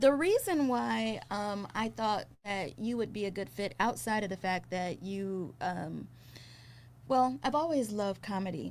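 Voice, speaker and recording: On a very clean recording with a silent background, a woman in a normal speaking voice with an American accent talks at a fairly slow pace, with medium pitch and lively intonation. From Trinidadian American. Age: 40s. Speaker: podcast host. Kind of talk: interview podcast.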